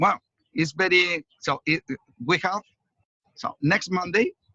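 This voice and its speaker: A man with a Spanish accent speaks in a bright, sharp tone with ordinary pitch variation, leaving long, frequent pauses. The sound is dry and close, with no echo. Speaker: police officer. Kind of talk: casual chat. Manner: halting.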